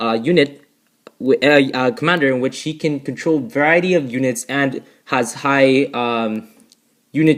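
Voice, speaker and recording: A man with a fairly high voice speaks with ordinary pitch variation on a very clean recording with a silent background. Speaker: gaming youtuber. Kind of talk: gameplay commentary. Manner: halting, many fillers and restarts; rushed.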